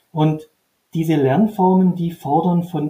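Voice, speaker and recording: A man talks with a high pitch. His tone is dark and mellow. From Upper Swabia, southern Germany. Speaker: trainer and author. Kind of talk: interview. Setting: video call.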